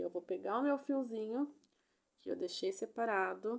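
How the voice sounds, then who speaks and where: Her voice sits high. The woman's intonation moves in a lively way. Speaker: crochet instructor. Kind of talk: tutorial. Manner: animated.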